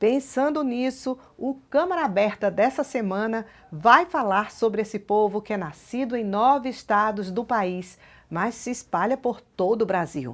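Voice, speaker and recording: A woman's fairly high-pitched, unremarkable speaking voice, with lively intonation at a fairly slow pace. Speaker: TV program presenter. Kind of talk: TV program introduction.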